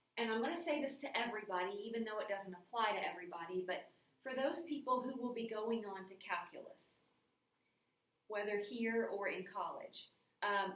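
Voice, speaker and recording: A woman with an ordinary speaking voice talks fairly quickly, her fairly high pitch showing ordinary pitch variation. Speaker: math teacher. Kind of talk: recorded lecture. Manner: casual.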